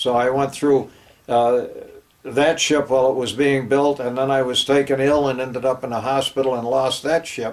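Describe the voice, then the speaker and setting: Here a man talks in a medium pitch with an American accent. His intonation is monotone and flat. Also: moderate pace. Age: 80s+. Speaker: war veteran. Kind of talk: oral history interview. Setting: home interview, Avon, New York. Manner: halting, frequent fillers.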